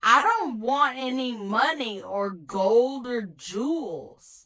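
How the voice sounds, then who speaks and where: A woman uses a put-on character voice, pitched high with lively intonation. She speaks at a very slow pace. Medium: read story. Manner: instructive, deliberate.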